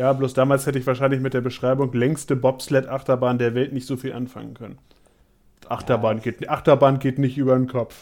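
A man at medium pitch with monotone, flat intonation and a fairly quick pace. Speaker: theme park podcaster and vlogger. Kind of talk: casual chat.

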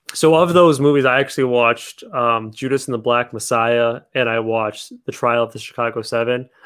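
A man with a normal speaking voice talks at a fairly quick pace and medium pitch, with fairly even intonation and hardly any pauses, on a very clean recording with a silent background. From Toronto, Canada. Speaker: podcast host. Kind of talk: casual chat.

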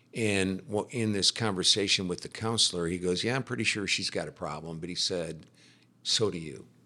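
On a very clean recording with a silent background, a man with an American accent speaks at a very deep, low pitch in a bright, sharp tone, at a moderate pace with ordinary pitch variation. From US Midwest. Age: 60s. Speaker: real estate developer. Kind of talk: casual interview, personal testimony. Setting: office building, in person.

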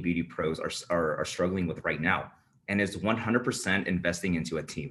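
A man with an American accent at a moderate pace. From US West Coast (San Francisco Bay Area). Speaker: marketing agency founder. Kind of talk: interview. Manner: casual, filler-heavy.

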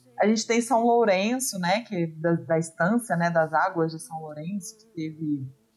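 With a Minas Gerais accent, a woman speaks at medium pitch. Her pace is moderate and her pitch variation ordinary. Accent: Minas Gerais (mineiro). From Minas Gerais, Brazil. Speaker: podcast guest. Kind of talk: casual chat.

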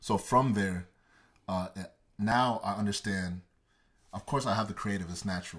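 A man with an American accent, a fairly low pitch, ordinary pitch variation and a moderate pace, broken by long, frequent pauses. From Texas, Dallas (Garland). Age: 20s. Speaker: creative entrepreneur. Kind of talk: casual interview.

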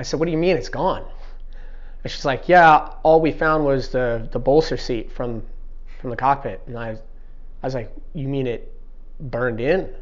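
A man speaks at a moderate pace with long, frequent pauses. Audible room echo surrounds the voice. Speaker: Navy SEAL. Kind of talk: casual interview conversation. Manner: mellow, relaxed.

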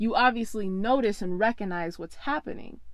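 Against a quiet background, a woman speaks in an animated tone. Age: 20s. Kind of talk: casual solo podcast monologue.

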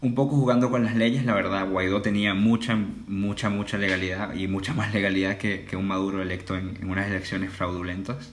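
Over noticeable background noise and audible room echo, a man with a fairly low pitch talks with hardly any pauses. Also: fairly even intonation, fairly quick pace. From Venezuela (Caracas). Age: 20s. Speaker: student. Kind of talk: casual interview conversation.

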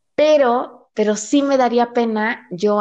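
A woman with an animated tone and ordinary pitch variation. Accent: Mexican. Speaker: podcast co-host. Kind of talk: casual chat. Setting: remote recording. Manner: animated, frequent laughter.

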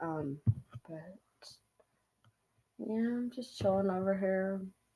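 The voice is quiet and fairly slow, broken by long, frequent pauses. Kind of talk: casual chat. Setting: at home. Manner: quiet, hushed.

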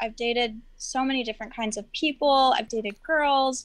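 This is a plain, everyday voice whose pitch varies in an ordinary way. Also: woman. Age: young. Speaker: social media content creator. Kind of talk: casual chat. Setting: video call.

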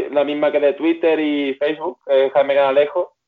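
A man's fairly high voice at a moderate pace. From Seville, Spain. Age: 20s. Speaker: Olympic rower. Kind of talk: interview.

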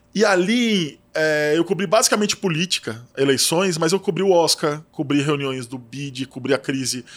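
In a very clean recording with a silent background, a man uses an ordinary speaking voice, fairly high in pitch, with lively intonation, a moderate pace and hardly any pauses. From Brazil, São Paulo interior. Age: 40s. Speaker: magazine editor-in-chief. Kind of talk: casual interview chat.

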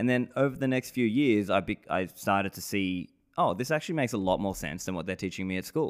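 Speaking very fast with lively intonation, a man with a fairly low voice is heard on a very clean recording with a silent background. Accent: Australian. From Australia, Sydney. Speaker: podcast host and bitcoin advocate. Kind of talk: casual interview.

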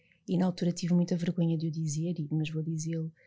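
A woman speaks in a European Portuguese accent, her voice fairly low and somewhat breathy. The recording is very clean, with a silent background. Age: 30s. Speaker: clinical psychologist and author. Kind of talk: podcast interview, personal testimony.

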